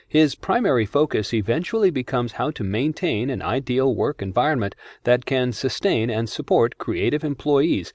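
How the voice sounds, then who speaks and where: Against a quiet background, a man with a normal speaking voice talks at medium pitch and a moderate pace. His intonation is lively, and the sound is dry and close with no echo. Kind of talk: audiobook narration. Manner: formal; even, measured.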